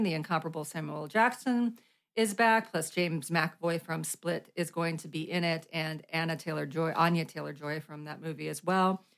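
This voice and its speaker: A woman talks at a fairly quick pace in a normal speaking voice, fairly low in pitch, on a very clean recording with a silent background. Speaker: podcast host. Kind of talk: casual chat. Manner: laughing, playful.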